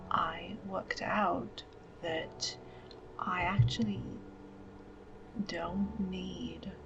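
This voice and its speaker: A soft-spoken woman with a calm tone at a very slow pace, music playing in the background. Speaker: writer and bullet journaller with ME/CFS. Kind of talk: soft-spoken, semi-ASMR talk to camera. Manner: soft-spoken, calm, reflective.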